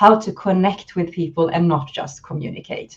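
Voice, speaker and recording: The pitch varies in an ordinary way. Behind the voice, the background is quiet. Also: woman. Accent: Swedish. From Sweden. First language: Swedish. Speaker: leadership and communication coach. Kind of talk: interview.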